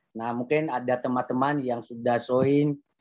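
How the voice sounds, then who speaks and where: Monotone, flat intonation from a man at a medium pitch, delivered at a moderate pace. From Nias, South Nias (Indonesia). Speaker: preacher. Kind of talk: sermon. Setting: video call. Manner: halting.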